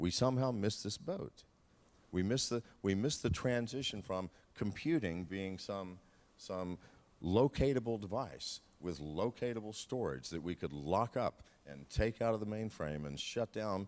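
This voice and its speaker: Against a very clean recording with a silent background, a man with a fairly low pitch speaks at a moderate pace with lively intonation. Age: 60s. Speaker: panelist. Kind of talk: panel discussion. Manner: animated.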